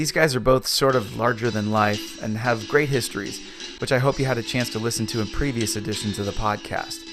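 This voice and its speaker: A man at a medium pitch with fairly even intonation and a very fast pace, music in the background. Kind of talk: podcast host narration.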